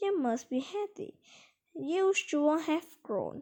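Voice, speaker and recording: A woman puts on a character voice with an extremely high pitch. She speaks at a very slow pace. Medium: read story. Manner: warm, good-humoured.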